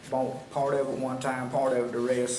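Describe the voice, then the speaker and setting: At a fairly quick pace, a man speaks at a medium pitch through audible room echo and noticeable background noise. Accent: rural Southern US. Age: 70s. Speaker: landowner speaking at public hearing. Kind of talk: public comment.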